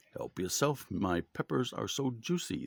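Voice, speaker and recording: A man uses a put-on character voice. He talks at a moderate pace and medium pitch. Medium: read story. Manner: sinister.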